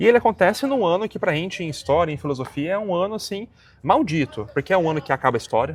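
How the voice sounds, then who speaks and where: A man at a very fast pace, with a high pitch and very wide pitch swings. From Brazil. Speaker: interviewer, history channel host. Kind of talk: academic interview. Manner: hesitant, many fillers.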